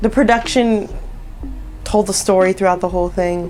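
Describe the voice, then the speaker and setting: A woman with an American accent, fairly even intonation, and noticeable background noise. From US West Coast, Inglewood, Los Angeles. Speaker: singer. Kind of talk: casual interview chat.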